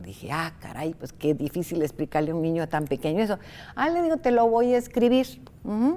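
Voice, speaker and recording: A woman's fairly low, dark and mellow voice at a fairly quick pace, with very wide pitch swings. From Costa Rica. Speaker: writer; interviewee. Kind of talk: interview. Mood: warm, animated storytelling. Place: studio. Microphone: lapel.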